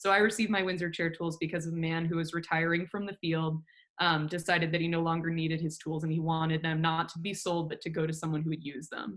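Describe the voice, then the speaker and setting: A woman rattles along at a very fast pace with hardly any pauses, her fairly low voice in monotone, flat intonation. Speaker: furniture maker. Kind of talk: presentation with slides.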